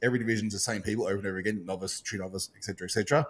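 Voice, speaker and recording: A man with an Australian accent, fairly low in pitch, with ordinary pitch variation. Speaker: podcast host and bodybuilding competitor. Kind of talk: casual chat. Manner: halting, many fillers.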